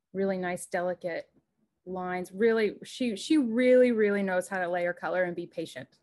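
The setting is quiet. A woman speaks at a moderate speed, her pitch varying in an ordinary way. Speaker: art teacher. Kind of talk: presentation. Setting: video call. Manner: warm and encouraging. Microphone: video call.

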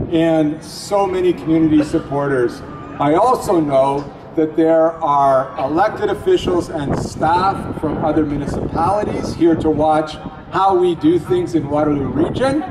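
Over noticeable background noise, a man speaks at a fairly slow pace with ordinary pitch variation and very even loudness. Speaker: event host official. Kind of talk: ceremonial welcome speech. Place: street.

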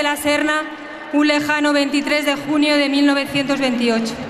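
A woman speaks with a high pitch. Noticeable background noise runs under her voice. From Spain. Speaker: football club president. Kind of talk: festival opening speech. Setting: outdoors, PA system. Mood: proud, emotional. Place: street. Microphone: podium.

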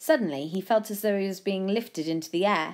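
Natural read-aloud delivery, its pitch varying an ordinary amount

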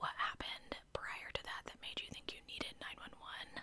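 The speaker is whispering at a moderate pace. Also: woman. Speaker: true crime storyteller. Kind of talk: casual commentary. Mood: suspicious, opinionated. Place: home room. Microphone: studio mic.

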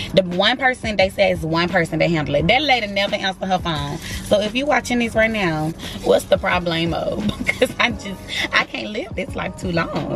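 Over faint background music, a woman talks at a fairly quick pace, her voice dry with no echo. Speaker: flight attendant vlogger. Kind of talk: casual vlog chat. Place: car. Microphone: phone near.

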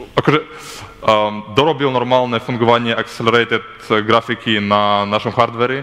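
A man with a non-native accent, fairly even intonation and very even loudness. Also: moderate pace. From Belarus. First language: not Slovak (speaking Slovak). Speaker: software developer; conference presenter. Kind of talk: conference talk. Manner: halting. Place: hall.

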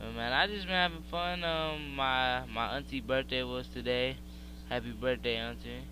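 A man at a moderate pace, with audible room echo. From Pennsylvania, US. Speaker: gaming YouTuber. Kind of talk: live gameplay commentary. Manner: casual, hesitant with many fillers.

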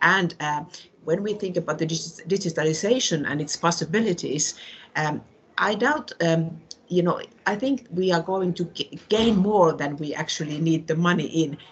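A somewhat breathy woman with a Finnish accent speaks at a moderate pace, her fairly low pitch showing ordinary variation. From northern Finland, Tornio border area. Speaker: regional politician. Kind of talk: panel debate contribution.

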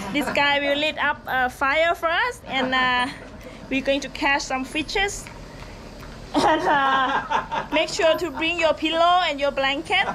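Over noticeable background noise, a raised, projected voice moves fairly slowly with ordinary pitch variation. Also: woman. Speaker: tour guide vlogger. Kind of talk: casual vlog chat. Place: tunnel cave. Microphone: phone near.

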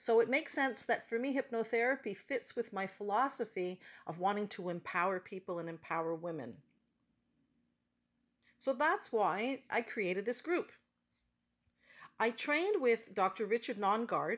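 Talking at a moderate pace, a woman leaves long, frequent pauses. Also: quiet background. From Canada. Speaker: hypnotherapist. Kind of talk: promotional talk to camera. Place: car. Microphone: phone near.

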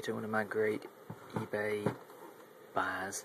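Over loud background noise, a man talks in a fairly low pitch. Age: 20s. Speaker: electronics hobbyist YouTuber. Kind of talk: casual product demo. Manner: halting. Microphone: phone near.

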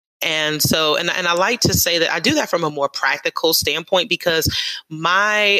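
With a New York accent, a woman speaks at a fairly low pitch and a moderate pace, her tone bright and sharp and her pitch variation ordinary. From New York City. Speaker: atheist organization leader. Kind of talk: interview.

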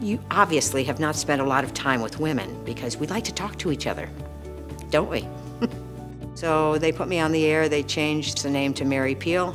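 A woman talks fairly quickly in a very deep, low voice. Clear music plays in the background. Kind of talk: interview answer. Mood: warm, storytelling. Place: studio.

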